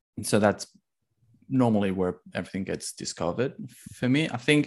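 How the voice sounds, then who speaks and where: With ordinary pitch variation and a fairly low pitch, a man talks over a quiet background. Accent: Spanish. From Spain. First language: Spanish. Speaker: indie game developer. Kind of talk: interview.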